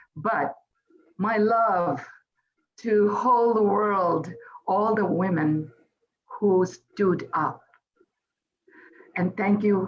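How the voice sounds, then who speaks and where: A woman with a Bengali accent speaks at a very slow pace and a medium pitch, with ordinary pitch variation. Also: long, frequent pauses, very even loudness. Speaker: poet. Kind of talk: event speech. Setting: celebration event.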